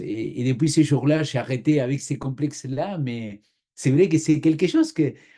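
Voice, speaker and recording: Male speech at a fairly slow pace with ordinary pitch variation. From Argentina. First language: Spanish (speaking French). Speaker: pastor. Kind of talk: interview testimony.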